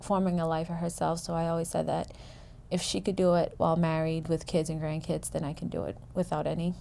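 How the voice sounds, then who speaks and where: Speaking in an American accent at a moderate pace, a woman has a fairly low pitch, a dark, mellow tone and monotone, flat intonation. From USA, Cape Verdean family. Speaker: community college student. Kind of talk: interview testimony.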